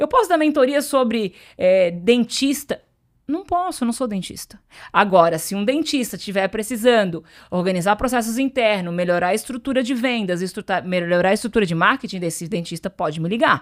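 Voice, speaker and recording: Set against a silent background in a very clean recording, a woman speaks at a moderate pace with an animated tone and a fairly high pitch. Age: 40s. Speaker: entrepreneur and business mentor. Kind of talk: podcast interview.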